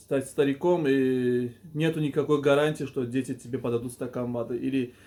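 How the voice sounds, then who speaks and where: In a very clean recording with a silent background, the voice has a dark, mellow tone and monotone, flat intonation. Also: man. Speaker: video blogger / life coach. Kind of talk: monologue to camera. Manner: stuttering, halting.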